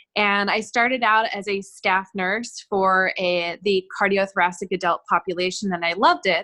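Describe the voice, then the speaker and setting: A woman with an American accent speaks loudly at medium pitch with a bright, sharp tone. Her moderate pace has hardly any pauses, and her intonation stays fairly even. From US West Coast, Los Angeles. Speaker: nurse. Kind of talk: self-introduction in online class. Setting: video call. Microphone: too quiet, has to speak loud.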